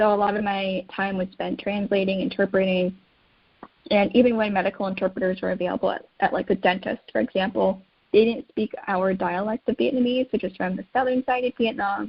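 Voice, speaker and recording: A woman with an American accent speaks at a medium pitch and a fairly quick pace. Her voice is somewhat breathy, with ordinary pitch variation. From United States. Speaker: caregiving advocate. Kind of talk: interview.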